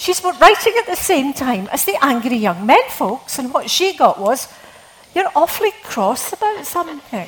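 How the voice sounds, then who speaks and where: Speaking in a Scottish accent, a woman uses a high pitch with very wide pitch swings at a moderate pace. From Scotland. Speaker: novelist. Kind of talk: literary talk with readings. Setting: stage with audience.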